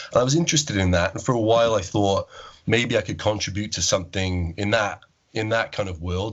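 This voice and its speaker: With a Welsh accent, a man speaks fairly quickly at a medium pitch, showing ordinary pitch variation. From Wales. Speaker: agnostic podcast producer. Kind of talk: podcast interview.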